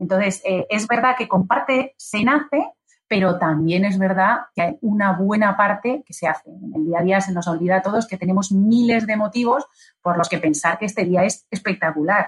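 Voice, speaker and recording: At a moderate pace, a woman with a medium pitch and ordinary pitch variation speaks in a somewhat breathy voice. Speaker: business executive and author. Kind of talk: interview. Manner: animated.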